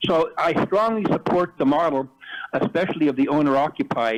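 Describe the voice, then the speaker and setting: An ordinary speaking voice at a moderate pace. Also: man. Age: 60s. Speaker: public commenter at city council meeting. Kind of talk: public comment.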